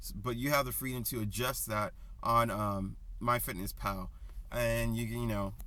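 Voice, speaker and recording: A man's words come at a moderate pace, carried by audible room echo. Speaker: personal trainer. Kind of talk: casual vlog advice. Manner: casual, hesitant with many ums.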